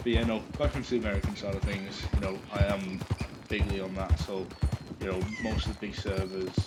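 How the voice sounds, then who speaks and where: Noticeable background noise sits behind a man whose very deep, low voice moves at a fairly quick pace with ordinary pitch variation. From Britain. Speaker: gaming streamer. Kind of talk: casual live-stream chat. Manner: hesitant, many fillers.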